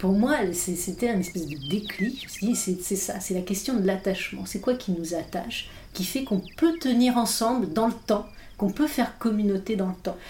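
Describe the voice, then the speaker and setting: Somewhat breathy and dark, mellow in tone, a woman speaks at medium pitch and a moderate pace with lively intonation. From Irish mother, multilingual upbringing. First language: English (speaking French). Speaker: philosopher and author. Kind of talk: interview conversation. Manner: halting, many hesitations.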